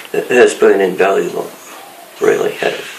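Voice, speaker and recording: A man speaks with an Australian accent. There is noticeable background noise and audible room echo. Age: 70s. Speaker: retired fire brigade captain. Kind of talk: interview. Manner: halting.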